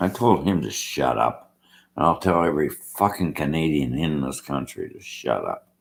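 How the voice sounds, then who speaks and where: Speaking in a very deep, low voice with vocal fry, a man sounds animated. His pace is fairly slow. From Australia. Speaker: vlogger. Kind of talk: rant.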